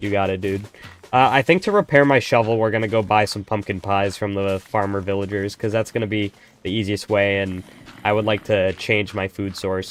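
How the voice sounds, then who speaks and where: At a moderate pace, a man speaks in a fairly low pitch with fairly even intonation. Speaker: gaming streamer. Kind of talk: casual live-stream chat while gaming. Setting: live stream. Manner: naturally sounds sarcastic.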